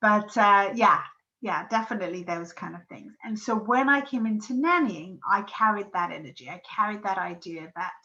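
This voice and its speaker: A woman with an English accent speaks at a moderate pace and a fairly high pitch. Her intonation is lively, with big swings in loudness. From England. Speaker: podcast host and parenting coach. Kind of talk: solo podcast monologue. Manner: casual, with many fillers.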